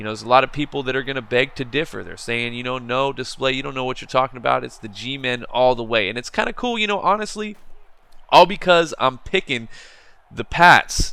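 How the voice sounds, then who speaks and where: The delivery moves at a fairly quick pace, with lively intonation, a bright, sharp tone and big swings in loudness. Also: man, medium pitch for a man. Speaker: gaming commentator. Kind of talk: casual commentary. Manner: halting; casual.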